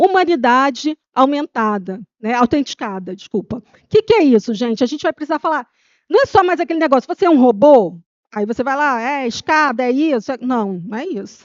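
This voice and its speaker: Her high-pitched voice swings very widely in pitch, and the woman's loudness rises and falls a great deal. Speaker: trend researcher. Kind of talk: conference presentation. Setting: stage with audience. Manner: fast.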